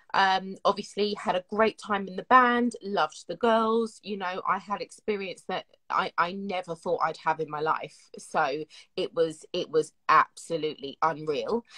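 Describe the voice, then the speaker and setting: A woman speaks at a fairly slow pace in a medium pitch, her tone bright and sharp, with ordinary pitch variation and a dry, close sound with no echo. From South London, England. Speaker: singer. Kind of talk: interview.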